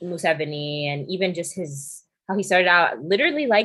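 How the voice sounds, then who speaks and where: Using lively intonation, a woman with a New York accent speaks at a fairly quick pace and a medium pitch. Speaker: podcast host and DJ. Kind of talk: casual chat.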